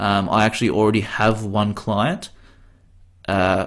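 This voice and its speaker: A man is speaking. His pitch is medium. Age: 20s. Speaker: podcast host. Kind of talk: solo monologue podcast. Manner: hesitant, with fillers and restarts.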